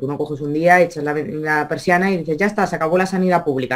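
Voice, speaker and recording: A woman talking at a very fast pace. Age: 30s. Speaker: regional politician. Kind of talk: interview. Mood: critical, earnest. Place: home room. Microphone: video call.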